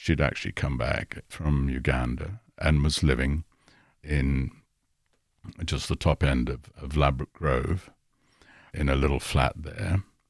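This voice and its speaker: A man with a very deep, low voice and vocal fry talks at a fairly slow pace, leaving long, frequent pauses. The intonation is fairly even, and the sound is dry and close with no echo. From Kenya. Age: 70s. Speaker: music industry executive. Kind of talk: casual chat. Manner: halting.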